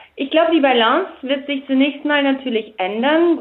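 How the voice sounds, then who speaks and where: The pace is fairly slow in this woman's speech. Pitch varies in an ordinary way. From Germany. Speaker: politician. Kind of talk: interview. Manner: hesitant.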